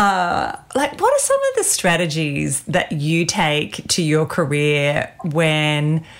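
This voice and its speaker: A woman with an Australian accent speaks at a very slow pace, with hardly any pauses and very even loudness. Noticeable background noise runs underneath. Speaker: podcast host and executive coach. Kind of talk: interview-style podcast chat.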